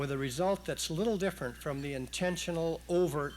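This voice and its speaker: A man talks at a moderate pace. Echo from the room is audible. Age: 60s. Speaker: retired judge. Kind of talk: public speech. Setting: stage with audience, broadcast on radio. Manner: formal.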